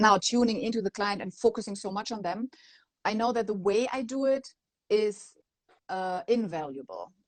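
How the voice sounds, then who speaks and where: A woman with a non-native accent speaks at a moderate pace in a fairly high pitch, with ordinary pitch variation and a dry, close sound that has no echo. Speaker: maternity photographer. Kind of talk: interview answer.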